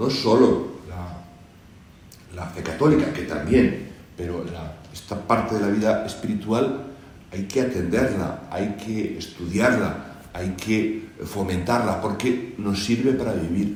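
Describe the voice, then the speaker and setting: A man with a fairly low pitch and ordinary pitch variation speaks at a very slow pace, with audible room echo and noticeable background noise. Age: 60s. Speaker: church charity representative. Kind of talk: panel discussion. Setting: presentation hall with audience.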